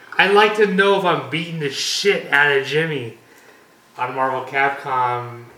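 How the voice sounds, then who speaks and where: A man with a fairly high pitch talks at a moderate pace with lively intonation. Noticeable background noise and audible room echo fill the recording. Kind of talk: casual chat.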